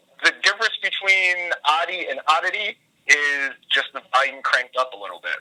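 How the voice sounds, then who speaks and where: A man at a moderate pace, bright and sharp in tone, with ordinary pitch variation. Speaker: professional wrestler. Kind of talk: phone interview. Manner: mellow in real life.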